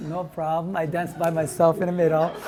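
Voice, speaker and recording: An animated man's voice, high in pitch, at a moderate pace in a Japanese accent. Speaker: restaurant owner. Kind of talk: testimony.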